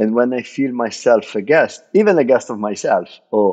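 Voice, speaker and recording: The man has an Italian accent and a medium pitch. He talks at a moderate pace over a quiet background. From Italy. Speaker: bartender. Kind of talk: podcast interview.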